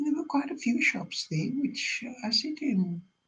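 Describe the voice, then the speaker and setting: Vocal fry runs through a woman's speech as her pitch swings very widely. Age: 80s+. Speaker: online seller and broadcaster. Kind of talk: live video chat monologue. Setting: online live broadcast. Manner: halting, many fillers.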